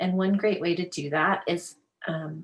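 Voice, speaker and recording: Woman with a normal speaking voice, fairly low in pitch, at a fairly slow pace. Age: 50s. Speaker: life coach. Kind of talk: interview. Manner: casual, filler-heavy.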